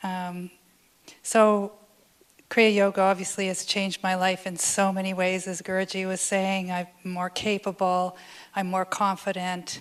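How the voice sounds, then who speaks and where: A woman talks at a moderate pace and medium pitch. Her intonation is monotone and flat. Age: 60s. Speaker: yoga student giving testimonial. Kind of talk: testimony.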